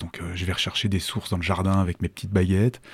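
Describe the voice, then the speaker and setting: A man's very deep, low voice with a dark, mellow tone comes through a very clean recording with a silent background. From Savoie, France (Annecy). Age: 50s. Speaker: entrepreneur. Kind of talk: interview. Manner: halting.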